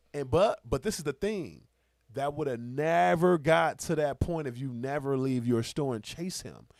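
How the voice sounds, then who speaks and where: A man's fairly high, animated voice with lively intonation, on a very clean recording with a silent background. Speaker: podcast host. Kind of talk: casual podcast chat. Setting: indoor studio. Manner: fast.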